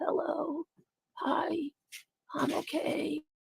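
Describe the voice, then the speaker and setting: The voice is a raspy, high-pitched, put-on character voice. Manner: putting on a sick voice.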